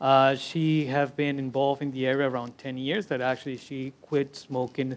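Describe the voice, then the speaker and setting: A man speaks with a Spanish accent at a fairly high pitch. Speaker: interpreter. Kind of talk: interpreting at a panel. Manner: halting.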